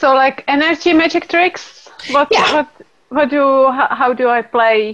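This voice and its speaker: Speaking in a Czech accent at a fairly slow pace, a woman has a high pitch with ordinary pitch variation and very even loudness. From Czech Republic. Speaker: class facilitator. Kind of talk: casual interview.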